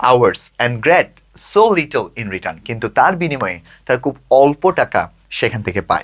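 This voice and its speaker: Speaking with a Bangladeshi accent, a man with a medium pitch makes very wide pitch swings. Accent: Bangladeshi Bengali. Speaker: English tutor. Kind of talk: lecture.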